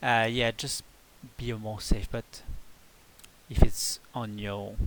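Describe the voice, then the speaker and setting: A man with a French accent speaks at a fairly slow pace and a fairly low pitch. His intonation is fairly even. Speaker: video game tutorial creator. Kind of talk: tutorial. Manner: halting.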